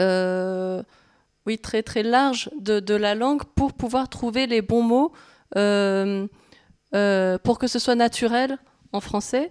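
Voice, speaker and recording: A woman speaks at a very slow pace with long, frequent pauses. Her fairly high voice has ordinary pitch variation and a dry, close sound with no echo. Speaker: manga translator. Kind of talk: public talk interview. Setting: library event with live audience. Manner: halting, many hesitations.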